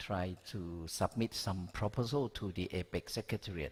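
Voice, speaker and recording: On a very clean recording with a silent background, a man with a fairly low pitch talks at a very slow pace with ordinary pitch variation. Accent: Thai. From Thailand. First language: Thai. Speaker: education researcher. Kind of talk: conference talk. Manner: halting.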